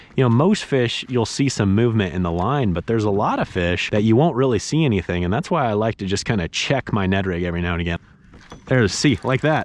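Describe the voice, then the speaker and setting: Very fast and lively in intonation, a man speaks in a fairly low pitch with an American accent. The sound is dry, with no echo. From Kansas, US Midwest. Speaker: fishing youtuber. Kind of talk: outdoor fishing tutorial. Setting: outdoors on the water. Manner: animated. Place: waterside. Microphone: phone near.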